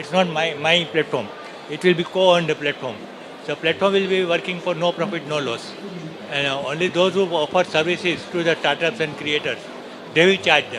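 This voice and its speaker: A man talks at a fairly quick pace in a high voice, his intonation fairly even. Noticeable background noise runs underneath. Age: 60s. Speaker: retired risk manager, startup founder. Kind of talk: interview. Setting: summit floor. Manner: halting.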